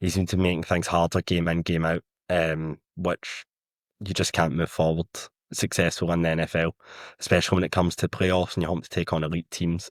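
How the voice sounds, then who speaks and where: In a very clean recording with a silent background and a dry, close sound with no echo, a man with a strong Scottish accent and a very deep, low pitch talks at a fairly quick pace in a monotone, flat intonation. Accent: thick Scottish. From Scotland. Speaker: football writer. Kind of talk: podcast discussion.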